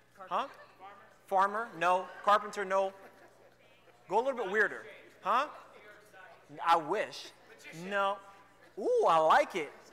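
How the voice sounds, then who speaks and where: Long, frequent pauses in a fairly slow, animated delivery, with a raised, projected voice, ordinary pitch variation and noticeable background noise. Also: man, high pitch for a man. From New York City. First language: Spanish. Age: 20s. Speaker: youth speaker. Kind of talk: youth talk. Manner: casual, animated.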